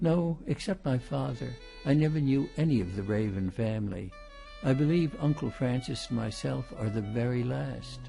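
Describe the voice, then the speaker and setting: A man's medium-pitched voice with lively intonation at a moderate pace, music in the background. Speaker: audiobook narrator. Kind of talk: audiobook reading of a mystery novel. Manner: well-paced, good emphasis.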